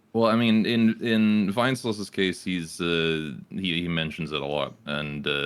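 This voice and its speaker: The intonation is lively and the pace moderate. There are hardly any pauses. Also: man, very deep, low pitch for a man. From Britain. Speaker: Twitch streamer. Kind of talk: casual podcast interview. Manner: hesitant, many fillers.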